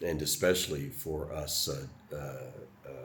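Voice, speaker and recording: In an American accent, a man speaks at a very deep, low pitch and a fairly slow pace, with fairly even intonation. Audible room echo and noticeable background noise fill the recording. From US South. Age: 70s. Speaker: retired Air Force veteran vlogger. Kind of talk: personal reflection monologue. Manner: halting, many fillers.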